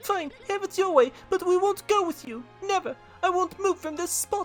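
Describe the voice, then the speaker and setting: A female-sounding put-on character voice, extremely high-pitched, at a moderate pace with faint music in the background. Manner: defiant, indignant.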